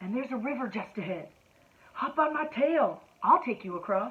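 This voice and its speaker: A woman's put-on character voice, high in pitch with very wide pitch swings. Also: moderate pace. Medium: read story. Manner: sly, coaxing.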